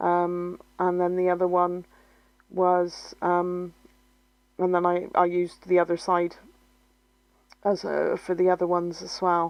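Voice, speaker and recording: A woman with a Bristolian accent speaks fairly slowly and fairly low, with long, frequent pauses. Her intonation is monotone and flat, and her loudness stays very even. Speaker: scrapbooking video creator. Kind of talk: crafting tutorial narration. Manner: hesitant, many fillers.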